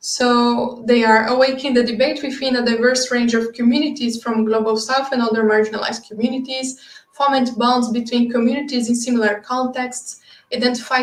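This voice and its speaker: Flat, monotone intonation comes at a moderate pace in a Brazilian Portuguese accent, with noticeable background noise. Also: woman. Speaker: project lead presenting at a webinar. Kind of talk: webinar presentation. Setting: online webinar.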